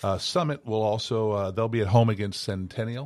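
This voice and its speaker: A man with a normal speaking voice, fairly low pitch and ordinary pitch variation, at a fairly quick pace, on a very clean recording with a silent background. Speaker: state representative. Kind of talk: casual panel chat. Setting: studio.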